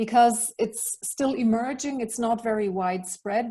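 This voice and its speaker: Over a quiet background, a woman with a somewhat breathy, dark, mellow tone speaks at a moderate pace and a fairly high pitch, with fairly even intonation. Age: 50s. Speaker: leadership mentor. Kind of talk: online talk.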